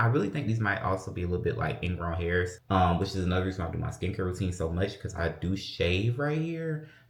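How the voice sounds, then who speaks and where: Somewhat breathy and animated, a man talks at a very fast pace with audible room echo around him. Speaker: lifestyle vlogger. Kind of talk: casual vlog chat. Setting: at home, closet.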